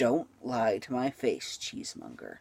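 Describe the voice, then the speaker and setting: Hissing runs through a put-on character voice. The pace is moderate. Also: man. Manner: hissing, menacing.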